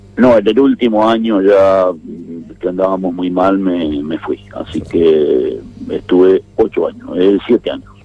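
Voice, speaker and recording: This man talks fairly slowly. Behind him, background noise is noticeable. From Argentina, northern Santa Cruz (Patagonia). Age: 60s. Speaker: former politician. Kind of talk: radio interview. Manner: hesitant, with fillers.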